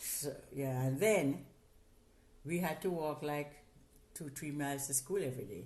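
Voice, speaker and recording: In a Jamaican accent, a woman speaks at a fairly slow pace with a very deep, low pitch and long, frequent pauses, and the room echo is audible. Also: ordinary pitch variation. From Jamaica, Portland parish. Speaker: interviewee, host's mother. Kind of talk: casual interview. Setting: in person.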